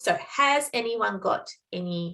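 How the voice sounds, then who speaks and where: Speaking in an Australian accent, this woman's pitch shifts in an ordinary way. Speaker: nursing educator. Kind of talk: training presentation with Q&A.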